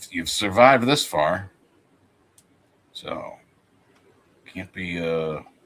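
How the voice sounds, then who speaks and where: A man speaks with a New Jersey accent at a very slow pace. He leaves long, frequent pauses. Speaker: comic artist streamer. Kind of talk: casual chat. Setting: live stream.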